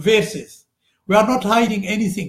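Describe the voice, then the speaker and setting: A man with an Arabic accent speaks at an extremely high pitch in a bright, sharp tone. Audible room echo surrounds his voice. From Sudan. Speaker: religious scholar. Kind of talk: lecture. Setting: live broadcast. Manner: halting, with frequent fillers.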